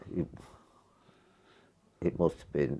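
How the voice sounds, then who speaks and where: A man speaks in an East Midlands accent with a dark, mellow tone. His voice has vocal fry. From North West Leicestershire, England. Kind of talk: interview answer. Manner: casual, reminiscing.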